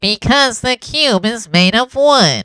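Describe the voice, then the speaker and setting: A woman puts on a character voice with lively intonation. Her pitch is fairly high and her pace fairly slow. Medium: read story. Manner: prompt, earnest.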